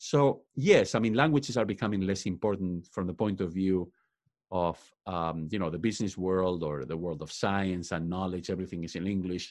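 With a Spanish accent, a man with a very deep, low voice talks at a moderate pace with ordinary pitch variation against a quiet background. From Spain. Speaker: professor and author. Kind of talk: interview. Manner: frequent fillers like uh, um.

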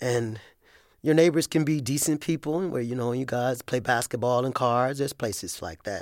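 A normal speaking voice from a man, medium in pitch, with ordinary pitch variation, a moderate pace and a very clean recording against a silent background. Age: 50s. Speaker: ex-prisoner. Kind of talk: interview.

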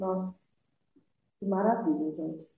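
Speaking at a moderate pace, a woman has a medium-pitched, somewhat breathy voice. Her intonation is lively. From southern Minas Gerais, Brazil. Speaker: entrepreneur, lingerie company founder. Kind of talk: interview, life story.

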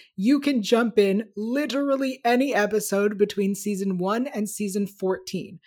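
An unremarkable speaking voice, a woman's, speaks with an American accent at medium pitch and moderate pace, with ordinary pitch variation and hardly any pauses, in a very clean recording with a silent background. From United States. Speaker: YouTube show host. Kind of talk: casual chat.

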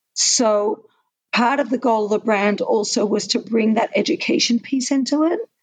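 In an Australian accent, a woman talks at a moderate pace with fairly high pitch and ordinary pitch variation. Her loudness stays very even. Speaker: watch brand co-founder. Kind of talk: interview.

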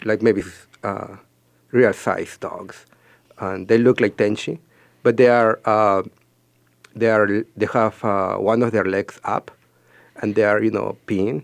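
A man with a Spanish accent speaks at a fairly slow pace in a monotone, flat, medium-pitched voice, leaving long, frequent pauses, on a very clean recording with a silent background and a dry, close sound with no echo. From Peru. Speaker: ceramic artist. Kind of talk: radio interview.

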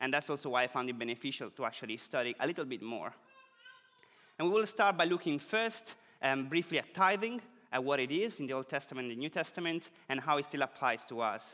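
A man speaks very fast with an Italian accent. His pitch sits fairly high, and his intonation is lively. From Italy. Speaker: preacher. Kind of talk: sermon.

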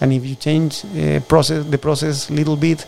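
A man with a strong Chilean accent speaks at a moderate pace. Noticeable background noise can be heard. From southern Chile. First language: Spanish. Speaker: oyster farmer and farm manager. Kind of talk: casual interview. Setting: on location at the farm. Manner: halting.

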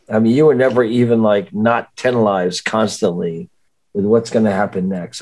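A man at a medium pitch and a moderate pace, in a normal speaking voice. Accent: American. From Miami Beach, Florida (early years New Jersey). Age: 60s. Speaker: rock singer. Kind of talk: casual chat.

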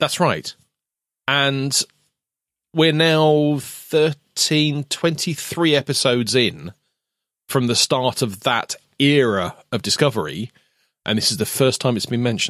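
Speaking at a fairly slow pace with long, frequent pauses, a man with a British accent uses a fairly high pitch and ordinary pitch variation, captured in a very clean recording with a silent background and a dry, close sound with no echo. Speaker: podcast co-host.

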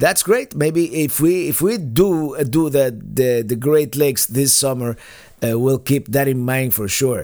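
With a Spanish accent, a man speaks at a fairly slow pace. His pitch is fairly high and his tone dark and mellow. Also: ordinary pitch variation, very clean recording, silent background. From Cuba. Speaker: podcast host and RV vlogger. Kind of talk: live Q&A podcast, casual chat. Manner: casual, chatty, halting with many fillers.

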